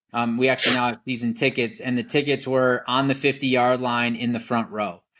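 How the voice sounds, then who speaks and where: A man speaks at a medium pitch with an American accent. The recording is very clean, with a silent background. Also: fairly even intonation, fairly quick pace. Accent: slight Wisconsin accent, mostly hidden. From Wisconsin. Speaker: rancher. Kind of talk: podcast interview.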